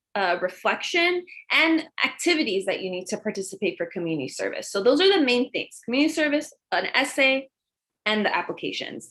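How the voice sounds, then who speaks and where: A woman speaks at a high pitch. Her pitch swings very widely. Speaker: school counselor. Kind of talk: presentation to parents. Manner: fast.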